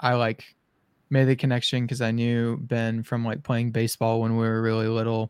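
In a very clean recording with a silent background, a man speaks at a moderate pace and medium pitch with monotone, flat intonation. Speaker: podcast host. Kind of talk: casual chat.

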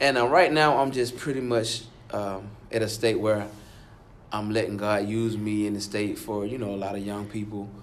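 Heard with audible room echo, a man in an American accent speaks at a fairly low pitch with fairly even intonation. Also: moderate pace. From Alabama. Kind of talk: interview.

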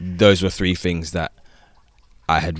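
On a very clean recording with a silent background, a man speaks with vocal fry and fairly even intonation. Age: 20s. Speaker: social worker and author. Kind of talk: personal testimony. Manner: casual, many fillers.

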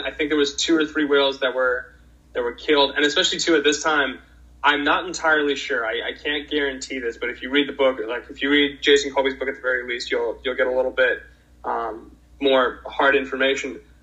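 Speaking in an American accent, this man's voice sits at a fairly high pitch. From Boston, Massachusetts. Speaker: orca advocate. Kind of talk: casual interview.

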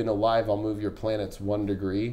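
There is audible room echo in this clip. A man speaks at a moderate pace. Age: 30s. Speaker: astrologer. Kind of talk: casual chat. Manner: casual.

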